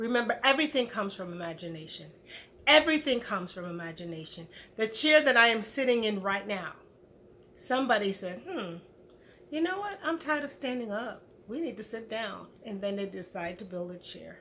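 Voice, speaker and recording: A woman speaks in an animated tone at a fairly quick pace, her fairly high pitch making very wide swings. Her loudness also swings widely. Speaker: educator and motivational speaker. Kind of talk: motivational talk. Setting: home video recording.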